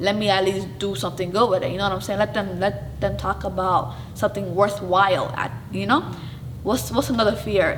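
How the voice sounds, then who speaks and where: A woman speaks in an animated tone at a fairly quick pace. Audible room echo and noticeable background noise fill the recording. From Somali family, raised in US. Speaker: show host. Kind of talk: interview, casual personal talk. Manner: animated, says she talks loud; halting, self-correcting.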